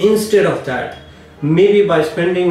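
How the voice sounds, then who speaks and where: There is light background noise and audible room echo as a man speaks with ordinary pitch variation. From India. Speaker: immigration lawyer. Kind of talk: advice monologue to camera.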